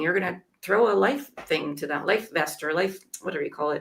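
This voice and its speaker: A woman talks at a fairly quick pace in an unremarkable speaking voice. Her pitch is fairly low, with ordinary variation. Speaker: YouTube coach. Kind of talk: casual chat.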